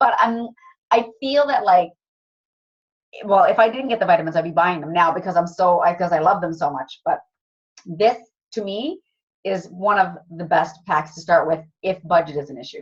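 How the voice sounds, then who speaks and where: Pausing long and often, a woman speaks in a somewhat breathy, fairly low voice with ordinary pitch variation and big swings in loudness. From Cape Breton, Nova Scotia. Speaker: wellness product distributor. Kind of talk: sales presentation. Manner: fast; casual.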